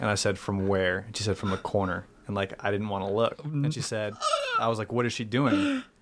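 Ordinary pitch variation and a fairly quick pace with an American accent, over noticeable background noise. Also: man, fairly low pitch for a man. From Boston area, Massachusetts. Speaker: improv comedian and writer. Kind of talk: storytelling in casual interview.

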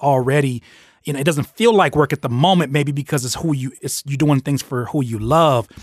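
A man with an unremarkable speaking voice talks at medium pitch with ordinary pitch variation, in a dry, close sound with no echo on a very clean recording with a silent background. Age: 30s. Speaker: podcast host and rapper interviewing a producer. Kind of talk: casual interview. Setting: studio.

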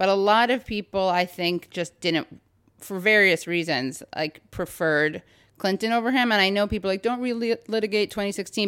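With an American accent and a normal speaking voice, a woman talks at a moderate pace and medium pitch on a very clean recording with a silent background. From New York City, Upper West Side. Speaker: podcast host and comedian. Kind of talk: casual interview chat. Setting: at her parents' home.

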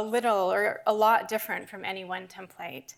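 A woman speaks in an American accent at a moderate pace with a fairly high pitch and an ordinary speaking voice, on a very clean recording with a silent background. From US Northeast, New Hampshire. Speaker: anthropologist. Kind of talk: public lecture.

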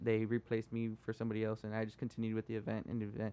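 A man with an American accent talks at a very fast pace, his pitch medium. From Texas, Rio Grande Valley (Edinburg). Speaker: guest sharing life story. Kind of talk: casual chat.

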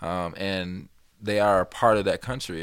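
An ordinary speaking voice from a man with an American accent, fairly low in pitch, at a moderate pace in a very clean recording with a silent background. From US Midwest, Chicago South Side. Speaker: community organizer. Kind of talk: casual chat.

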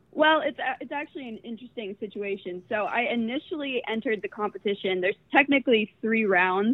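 A woman with an American accent in a normal speaking voice, with ordinary pitch variation. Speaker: student entrepreneur. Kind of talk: casual interview. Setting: phone call.

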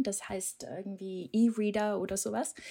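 On a very clean recording with a silent background, a woman with a Danish accent talks at a very slow pace and a fairly high pitch. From Denmark. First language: Danish (speaking German). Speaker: SEO manager. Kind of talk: podcast interview. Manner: hesitant, many filler sounds.

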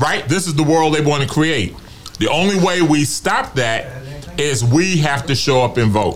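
A man's fairly high voice at a fairly slow pace, with ordinary pitch movement, very even loudness, audible room echo and noticeable background noise. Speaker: retiree activist. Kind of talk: testimony. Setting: studio.

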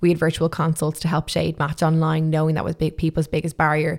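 With an Irish accent, the speaker talks at a very fast pace on a very clean recording with a silent background. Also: woman. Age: 20s. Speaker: makeup artist and entrepreneur. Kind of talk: interview.

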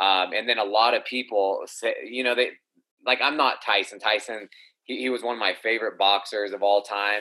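Keeping a moderate pace and fairly even intonation, a man talks at a medium pitch in a plain, everyday voice. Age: 30s. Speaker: professional MMA fighter. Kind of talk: casual chat.

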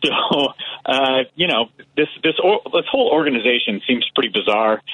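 A man speaks at a fairly high pitch. He has a normal speaking voice. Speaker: political podcast host. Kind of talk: casual political chat. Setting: phone call.

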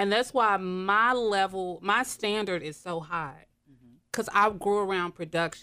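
A woman speaks at a moderate pace in a medium voice with a bright, sharp tone and ordinary pitch variation, recorded very cleanly against a silent background. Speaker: hair and makeup artist. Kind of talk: casual chat. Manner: animated.

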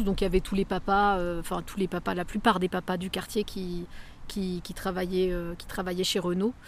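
A woman speaks at medium pitch and a moderate pace. The recording is very clean, with a silent background. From France, Évreux (Normandy). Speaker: author and theatre director. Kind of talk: interview. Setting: on location outdoors in neighbourhood. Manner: halting.

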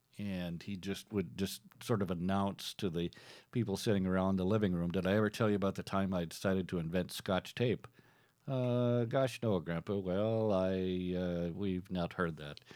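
On a very clean recording with a silent background, a man with an American accent speaks at a moderate pace in a very deep, low pitch, with fairly even intonation. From Minnesota. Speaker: podcast host, former radio DJ. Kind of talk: casual comedic monologue and storytelling. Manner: halting, many fillers.

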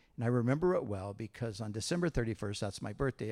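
A man with a fairly low pitch and an ordinary speaking voice, at a fairly quick pace with an American accent, on a very clean recording with a silent background. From Southern California, Huntington Beach area. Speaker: pastor. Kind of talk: church interview. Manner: casual.

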